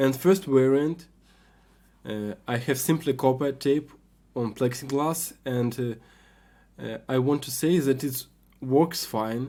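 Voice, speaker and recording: Speaking very slowly with long, frequent pauses, a man with a non-native accent has a medium pitch and ordinary pitch variation. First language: not English. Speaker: hobbyist maker, video creator. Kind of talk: tutorial. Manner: halting, many fillers.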